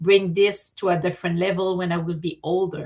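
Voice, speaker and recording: Speaking with a French Canadian accent, a woman keeps a medium pitch and fairly even intonation. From Quebec. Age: 50s. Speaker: artist and entrepreneur. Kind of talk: interview. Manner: halting.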